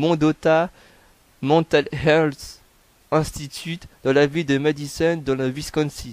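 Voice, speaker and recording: A man's fairly high, monotone, flat voice at a fairly slow pace, dry and close with no echo. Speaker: YouTuber narrating true crime. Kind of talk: reading aloud. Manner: halting, stumbles over words.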